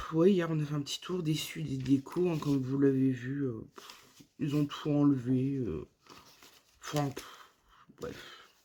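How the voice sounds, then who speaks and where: A dark, mellow tone unfolds at a very slow pace. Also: woman. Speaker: vlogger. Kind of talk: casual vlog talk to camera.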